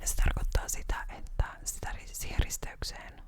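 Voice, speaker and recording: Whispering at a very slow pace, a woman speaks over noticeable background noise. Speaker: ASMR creator. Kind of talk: ASMR whisper video. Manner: whispered; calm, soft-spoken.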